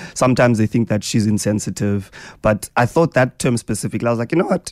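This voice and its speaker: Someone with a South African accent talks at a very fast pace, the sound dry and close with no echo. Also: man. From South Africa (Eastern Cape). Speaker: radio host. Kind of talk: radio interview chat. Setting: radio studio.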